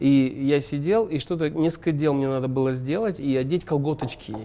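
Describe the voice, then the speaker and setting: Fairly high for a man, this plain, everyday voice moves at a moderate pace with ordinary pitch variation. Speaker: actor and stuntman. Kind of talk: casual chat.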